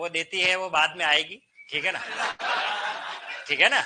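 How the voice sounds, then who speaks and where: A man speaks in a raised, projected voice with a bright, sharp tone and an animated delivery. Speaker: Hindi teacher at coaching institute. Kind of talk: classroom lecture. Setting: classroom with students. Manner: conversational, animated. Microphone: no microphone today.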